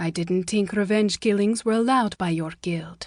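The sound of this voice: A woman puts on a raspy character voice at medium pitch. She talks at a moderate pace. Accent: slight Finnish.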